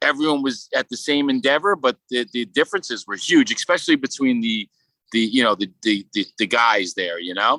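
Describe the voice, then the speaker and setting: A man in a Brooklyn accent, medium pitch, bright, sharp tone, lively intonation and fairly quick pace, with a dry, close sound and no echo. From Brooklyn, New York. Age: 30s. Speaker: sculptor. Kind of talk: casual interview.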